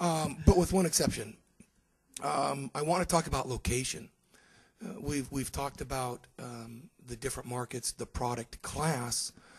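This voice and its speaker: Big swings in loudness mark this man's somewhat breathy, medium-pitched speech, delivered at a moderate pace with lively intonation. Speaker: conference panelist, university faculty. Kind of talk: conference panel talk. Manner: halting, many fillers.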